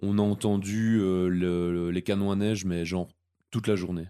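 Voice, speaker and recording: On a very clean recording with a silent background, a man speaks fairly slowly with a fairly low pitch and fairly even intonation. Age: 30s. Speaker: podcast host, seasonal ski resort worker. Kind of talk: casual chat.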